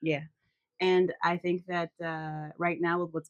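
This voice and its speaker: A woman is recorded with a dry, close sound and no echo. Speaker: therapist and podcast co-host. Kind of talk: casual chat. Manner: fast.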